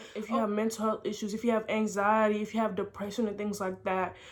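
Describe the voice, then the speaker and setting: A woman speaks at a fairly quick pace in an American accent. Her pitch sits in the medium range. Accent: slight African, mostly American. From Senegal and Houston, Texas. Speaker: vlogger. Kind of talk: personal storytelling vlog.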